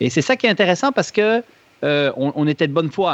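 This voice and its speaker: In a plain, everyday voice with a fairly high pitch and lively intonation, a man speaks with a dry, close sound with no echo. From Switzerland. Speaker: running injury expert, clinic founder. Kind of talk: podcast interview.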